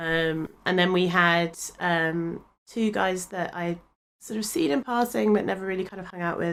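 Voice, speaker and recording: The speaker has an English accent and ordinary pitch variation. The pace is moderate. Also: woman, fairly low pitch for a woman. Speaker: podcast co-host. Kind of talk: casual chat. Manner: hesitant, many fillers.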